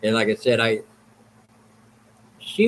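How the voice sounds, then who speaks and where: A man speaks at a fairly slow pace in a somewhat breathy voice of medium pitch. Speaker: livestream host. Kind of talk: casual chat. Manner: halting.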